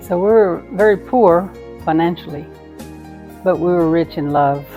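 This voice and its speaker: Over music in the background, a woman with an American accent speaks at a fairly low pitch with ordinary pitch variation. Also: moderate pace. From Midland, Texas. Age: 60s. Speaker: grandmother. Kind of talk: interview answer.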